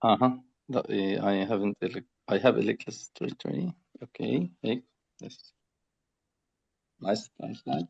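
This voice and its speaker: A man with a Palestinian accent speaks at a fairly slow pace, with long, frequent pauses and big swings in loudness. The sound is dry and close with no echo. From Gaza, Palestine. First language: Arabic. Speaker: building technique founder. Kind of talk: presentation. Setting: video call. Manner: halting.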